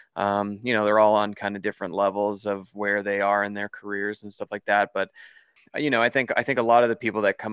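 A man's fairly low voice in monotone, flat intonation, at a fairly quick pace, with a dry, close sound, no echo and a quiet background. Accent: Canadian. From Canada. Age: 30s. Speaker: horror filmmaker. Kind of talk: casual interview.

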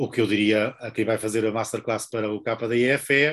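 The intonation stays fairly even. It is an unremarkable speaking voice. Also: man. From northern Portugal. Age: 50s. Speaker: book publisher and author. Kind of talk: interview.

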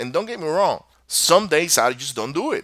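This man talks at a moderate pace with lively intonation and a bright, sharp tone. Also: very clean recording, silent background. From Venezuela. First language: Spanish. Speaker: podcast host. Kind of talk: solo podcast monologue. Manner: casual, rambling, motivational.

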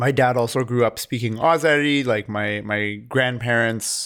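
On a very clean recording with a silent background, a man talks in a normal speaking voice. His pitch is medium, with ordinary pitch variation. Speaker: film podcast co-host. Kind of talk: casual chat.

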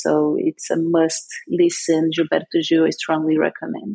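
The words come fairly slowly. A non-native accent is heard. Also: woman. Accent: foreign. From Brazil, São Paulo. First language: Portuguese. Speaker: cannabis industry entrepreneur. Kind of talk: interview.

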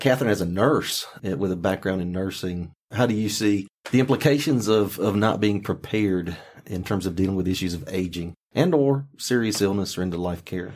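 In an American accent, a man with a plain, everyday voice talks at a fairly quick pace, fairly low in pitch with ordinary pitch variation. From rural North Carolina. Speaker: podcast host, county official. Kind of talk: podcast interview.

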